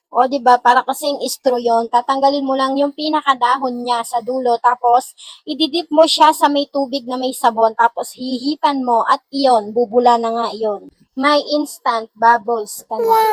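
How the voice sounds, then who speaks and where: A woman speaks at a moderate pace with a high pitch and an animated tone. The sound is dry and close, with no echo. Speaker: cooking vlogger. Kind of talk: cooking vlog narration.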